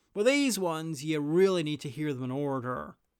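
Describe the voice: With lively intonation and a clear, smooth tone, a man speaks at a moderate pace in a fairly high pitch.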